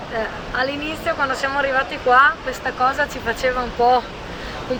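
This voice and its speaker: Crowd noise fills the background as a woman uses a raised, projected voice. Her pitch is high and her pace fairly quick. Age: 40s. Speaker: real estate agent and expat. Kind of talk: casual interview conversation. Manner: hesitant, repeats words.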